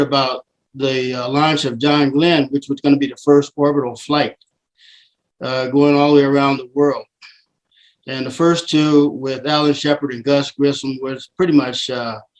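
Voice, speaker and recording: Here a man with an American accent speaks at a moderate pace in a fairly high pitch, his intonation monotone and flat. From southern California. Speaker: airline pilot. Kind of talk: webinar talk. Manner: hesitant with frequent fillers.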